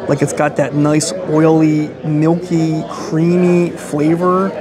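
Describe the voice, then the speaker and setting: Fairly even intonation runs through a man's speech, with noticeable background noise underneath. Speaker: food reviewer. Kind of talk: casual vlog chat. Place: cafe. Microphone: phone near.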